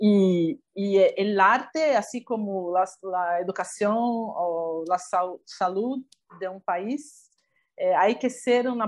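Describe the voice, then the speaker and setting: Over a quiet background, a woman with a Portuguese accent speaks at a medium pitch with ordinary pitch variation. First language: Portuguese (speaking Spanish). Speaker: documentary filmmaker. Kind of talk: interview.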